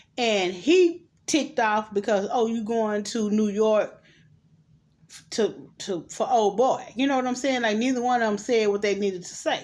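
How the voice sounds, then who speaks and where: Here a woman has an ordinary speaking voice at a fairly high pitch, with ordinary pitch variation. She speaks at a moderate pace on a very clean recording with a silent background. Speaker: vlogger reviewing movies. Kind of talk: casual movie recap.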